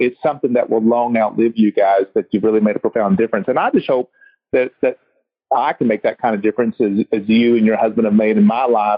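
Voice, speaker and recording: With a Texas accent, a man talks at a fairly quick pace in a medium pitch and an energetic tone. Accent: US Southern (Texas). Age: 50s. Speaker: chiropractor and podcast host. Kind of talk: casual interview chat.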